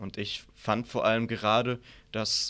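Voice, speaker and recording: On a very clean recording with a silent background, a man speaks in a normal speaking voice at medium pitch with fairly even intonation. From Southern Palatinate, Germany. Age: 20s. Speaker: author and political science student. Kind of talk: debate.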